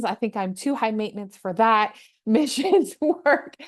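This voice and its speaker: Against a quiet background, a woman with a slight Canadian accent speaks in an upbeat tone. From Canada, Toronto. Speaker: mental health social worker. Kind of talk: interview.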